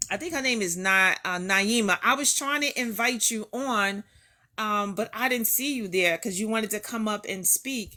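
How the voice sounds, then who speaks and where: A bright, sharp voice with a Newark accent talks at a moderate pace and ordinary pitch variation. The recording is very clean, with a silent background. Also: woman. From New York, the Bronx. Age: 50s. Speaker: live-stream host. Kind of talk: casual live-stream chat.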